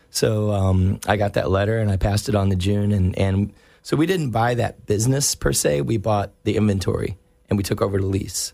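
In a very clean recording with a silent background, a man with an ordinary speaking voice and an American accent talks at a fairly quick pace, his fairly low pitch showing ordinary pitch variation and very even loudness. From US South, North Carolina. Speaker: comic book store owner. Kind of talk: casual chat. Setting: studio.

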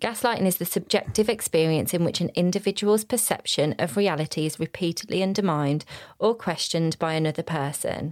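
A woman talks at a fairly quick pace with hardly any pauses, her pitch fairly low and its variation ordinary. The recording is very clean against a silent background. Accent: Birmingham. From Birmingham, England. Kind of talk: casual chat. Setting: holiday in Cornwall.

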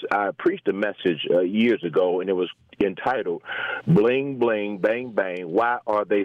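Speaking at a fairly slow pace with very even loudness, a man with a fairly low pitch comes through over noticeable background noise. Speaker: pastor caller. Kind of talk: phone call commentary. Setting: phone call.

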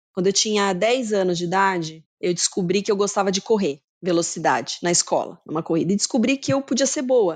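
With an ordinary speaking voice at a medium pitch, a woman talks at a fairly quick pace with lively intonation, very even loudness and hardly any pauses, over a quiet background. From Brazil, Campinas (São Paulo state). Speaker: marketing executive. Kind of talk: interview.

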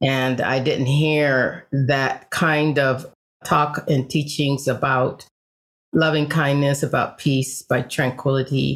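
A woman with an American accent speaks very slowly in a very deep, low pitch, with monotone, flat intonation and very even loudness. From Los Angeles, US. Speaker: Zen priest and author. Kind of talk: interview.

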